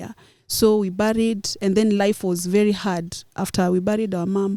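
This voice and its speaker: With a Kenyan accent, a woman speaks at medium pitch and a moderate pace. Her tone is dark and mellow, her intonation monotone and flat. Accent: Kenyan Kamba. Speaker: journalist. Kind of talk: interview answer.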